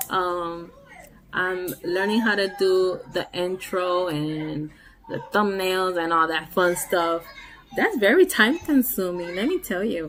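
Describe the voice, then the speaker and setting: A woman speaks very slowly in a Puerto Rican accent, with a medium pitch and ordinary pitch variation. Her long pauses come often, and music plays in the background. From Puerto Rico. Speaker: nail art vlogger. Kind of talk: casual vlog monologue. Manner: casual, with many fillers.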